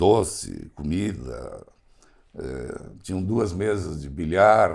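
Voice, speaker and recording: A man with a very deep, low pitch and vocal fry talks at a very slow pace with lively intonation. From southern Brazil, Rio Grande do Sul (Encantado). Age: 70s. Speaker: foundation engineer. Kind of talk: interview.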